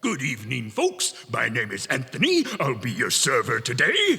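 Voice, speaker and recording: Putting on a character voice, a man speaks at medium pitch and a moderate pace. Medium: stage play. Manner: blustering, pushy.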